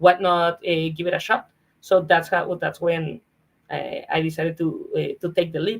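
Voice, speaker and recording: A woman with a Mexican accent at a moderate pace. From Mexico. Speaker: comedian and former marketer. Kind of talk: interview conversation.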